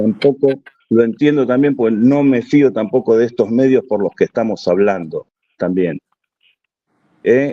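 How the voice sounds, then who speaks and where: The voice has a dark, mellow tone and moves at a fairly slow pace. The sound is dry and close, with no echo. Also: man. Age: 60s. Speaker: audience participant, army reservist. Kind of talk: question-and-answer contribution at an online conference.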